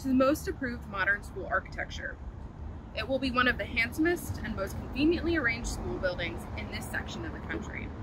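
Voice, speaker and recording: A woman at a fairly quick pace, dry sound with no echo, and noticeable background noise. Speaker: walking tour guide. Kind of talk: historical tour presentation. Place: open country.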